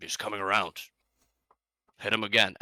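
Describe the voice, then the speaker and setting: A raspy, put-on character voice moves at a fairly quick pace. The sound is dry and close, with no echo. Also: man, fairly low pitch for a man. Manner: menacing, curt.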